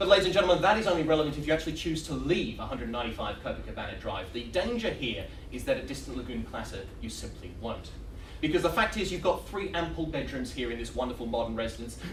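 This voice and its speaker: Over noticeable background noise, a man talks at a very fast pace in an upbeat tone. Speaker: auctioneer. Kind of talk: auctioneer's sales patter at a property auction, competition heat. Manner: witty, upbeat, fast-flowing.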